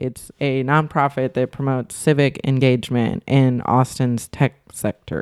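This woman speaks at a fairly slow pace with a very deep, low pitch and fairly even intonation, hardly pausing, in a dry, close sound with no echo. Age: 20s. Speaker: podcast co-host, tech worker. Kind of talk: casual chat.

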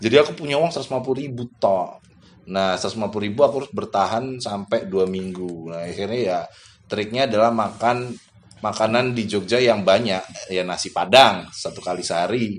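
A man with a plain, everyday voice, medium pitch, moderate pace and ordinary pitch variation. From Sumatra, Bengkulu. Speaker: migrant worker. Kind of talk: casual chat.

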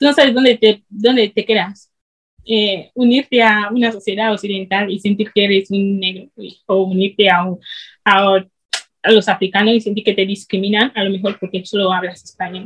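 A woman with a somewhat breathy, medium-pitched voice talks at a moderate pace with fairly even intonation. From Equatorial Guinea. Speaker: student and video creator. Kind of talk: interview.

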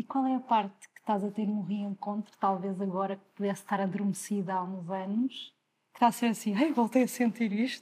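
Somewhat breathy and dark, mellow in tone, a woman speaks at a medium pitch and a fairly quick pace. Her intonation stays fairly even while her loudness swings widely. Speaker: podcast host. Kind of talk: interview.

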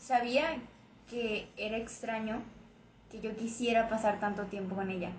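Audible room echo follows a woman as she speaks fairly slowly at a fairly high pitch with fairly even intonation. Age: 20s. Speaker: guest. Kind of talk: casual chat. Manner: soft-spoken.

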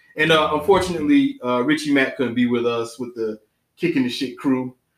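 A man with an American accent speaks at a fairly quick pace with ordinary pitch variation. He has an unremarkable speaking voice. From Savannah, Georgia, US South. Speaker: podcast host, film reviewer. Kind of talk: casual chat.

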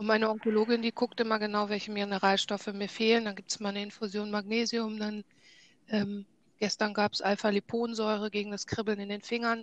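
A woman with a fairly high pitch talks at a fairly quick pace in a flat monotone, the sound dry and close with no echo. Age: 40s. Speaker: cancer patient. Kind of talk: casual interview.

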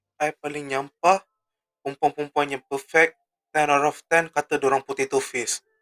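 Speaking at a moderate pace, a man with a fairly high pitch and a bright, sharp tone keeps his intonation fairly even, the sound dry and close with no echo. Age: 20s. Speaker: podcast host. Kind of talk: casual solo monologue.

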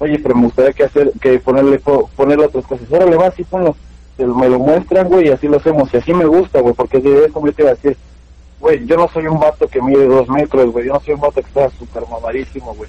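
This man's delivery is very fast. The rise and fall of his pitch is ordinary. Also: fairly high pitch for a man. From Mexico, Pachuca, Hidalgo. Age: 20s. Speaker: rapper and reggaeton singer. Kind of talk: casual interview. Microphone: wireless headphones, audio cutting out.

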